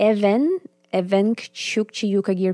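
A woman speaks with a Siberian accent in a dry, close sound with no echo. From Sakha Republic, Arctic Siberia, Russia. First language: Sakha. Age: 30s. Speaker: musician and shamanic practitioner. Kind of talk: interview conversation.

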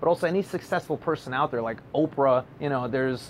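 With an ordinary speaking voice, the talker keeps a moderate tempo and varies pitch in an ordinary way. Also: man. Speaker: podcast co-host. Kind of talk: casual interview chat.

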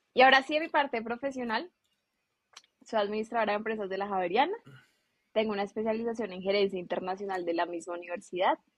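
Talking at a very fast pace in a fairly high voice, a woman breaks off with long, frequent pauses, and her loudness swings widely. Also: ordinary pitch variation. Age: 20s. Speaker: business administrator. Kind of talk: interview.

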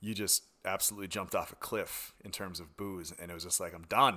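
This man has an American accent. Nothing is heard behind him, and the recording is very clean. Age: 40s. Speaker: podcast guest. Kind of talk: casual chat.

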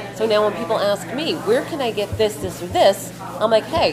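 Over noticeable background noise and audible room echo, a woman talks at a fairly quick pace with very wide pitch swings. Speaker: cafe owner. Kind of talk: casual interview. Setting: in a cafe.

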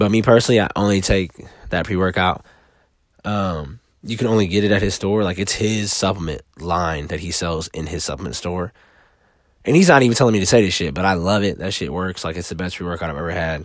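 On a very clean recording with a silent background, a man with a very deep, low pitch talks at a fairly quick pace with ordinary pitch variation. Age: 30s. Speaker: podcaster. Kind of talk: casual monologue. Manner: casual.

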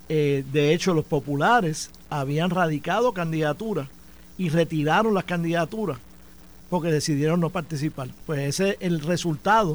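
A man talks with an unremarkable speaking voice. His pitch is fairly high and his pace moderate. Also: ordinary pitch variation. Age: 60s. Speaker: former Senate president and politician. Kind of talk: radio studio debate. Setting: radio studio.

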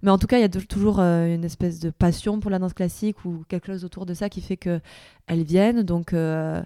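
A woman with a southern French accent and a dark, mellow tone speaks at a fairly quick pace and medium pitch with fairly even intonation, in a very clean recording with a silent background. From southern France, Perpignan. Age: 30s. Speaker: dancer and choreographer. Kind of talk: interview. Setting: dance studio.

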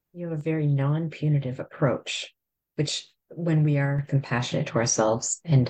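Moderate pace with ordinary pitch variation. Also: woman. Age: 50s. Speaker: podcast host. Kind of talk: casual chat.

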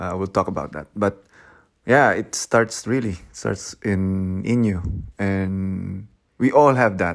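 A man with a Filipino accent talks very slowly with ordinary pitch variation on a very clean recording with a silent background. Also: fairly low pitch for a man. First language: Tagalog. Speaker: podcast host. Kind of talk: solo podcast monologue. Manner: hesitant, many fillers.

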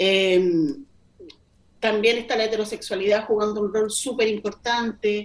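Speaking at a fairly slow pace, a woman with a fairly high voice keeps her intonation fairly even. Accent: Chilean. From Chile, Melipilla. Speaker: poet and editor. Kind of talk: casual interview. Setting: video call. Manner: slow, thoughtful.

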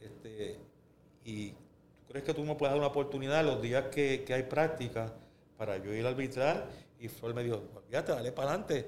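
A man with a Puerto Rican accent and a medium pitch at a fairly quick pace, with long, frequent pauses and audible room echo. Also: ordinary pitch variation. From Puerto Rico, Río Piedras. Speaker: basketball rules expert and former player. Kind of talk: casual interview. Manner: hesitant, with frequent fillers.

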